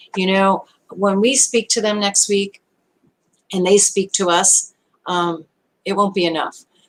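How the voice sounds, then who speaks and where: With an American accent, a woman of medium pitch speaks at a fairly slow pace. Her intonation is fairly even, and her pauses are long and frequent. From US Northeast (Brooklyn, New York). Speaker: online show host. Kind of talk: live stream talk.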